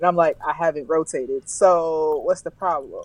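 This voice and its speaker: With an American accent, a woman with an ordinary speaking voice talks at a moderate pace and a fairly low pitch, the sound dry and close with no echo. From US South, Alabama. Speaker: travel blogger and corporate professional. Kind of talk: casual interview conversation.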